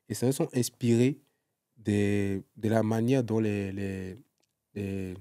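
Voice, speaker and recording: Very slowly and with fairly even intonation, a man speaks at a fairly low pitch in a dark, mellow tone, the sound dry and close with no echo. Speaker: singer and former content creator. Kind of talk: casual interview chat. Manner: halting, many repetitions.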